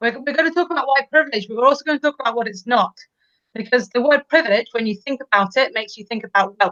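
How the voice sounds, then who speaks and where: A woman speaks very fast in a high, bright, sharp voice with ordinary pitch variation and big swings in loudness, the sound dry and close with no echo. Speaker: teacher. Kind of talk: educational discussion.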